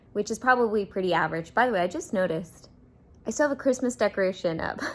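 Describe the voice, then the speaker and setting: Here a woman talks at a very fast pace. Her medium-pitched voice has lively intonation. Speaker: book vlogger. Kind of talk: casual vlog talk to camera. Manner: speaking quietly.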